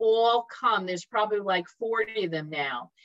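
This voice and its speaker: An unremarkable speaking voice moves at a moderate pace, the sound dry and close with no echo. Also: woman. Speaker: library event moderator. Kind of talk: casual event hosting. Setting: video call.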